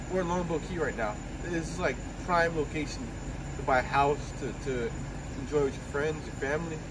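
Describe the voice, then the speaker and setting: A man at a very fast pace over noticeable background noise. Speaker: food vlogger. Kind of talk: casual vlog chat. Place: street. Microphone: phone near.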